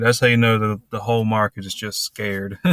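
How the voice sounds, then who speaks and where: A man with a Southern US accent talks at a fairly quick pace. His medium-pitched voice comes through on a very clean recording with a silent background. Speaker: finance commentator. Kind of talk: casual commentary over news clip.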